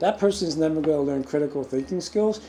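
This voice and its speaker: A man's fairly high voice with a dark, mellow tone. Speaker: qi gong teacher. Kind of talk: lecture. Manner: fast.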